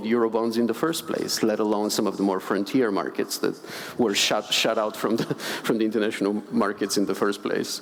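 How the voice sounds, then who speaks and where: With noticeable background noise behind him, a man of medium pitch talks at a fairly quick pace with a Bulgarian accent. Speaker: conservation finance director. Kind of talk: panel discussion.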